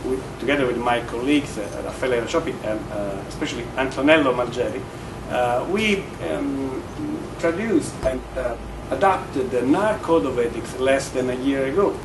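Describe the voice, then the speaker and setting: A man with a strong Italian accent speaks at a moderate pace and medium pitch, with lively intonation. Noticeable background noise and audible room echo surround him. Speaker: real estate agent. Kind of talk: conference speech. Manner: halting, many fillers.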